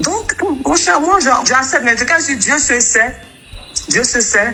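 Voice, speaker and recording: Over music in the background and with audible room echo, a woman uses a raised, projected voice, high in pitch with very wide pitch swings, at a fairly slow pace. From Ghana (Kumasi). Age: 30s. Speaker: TV worker and former beauty pageant contestant. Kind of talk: interview. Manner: halting, repetitive.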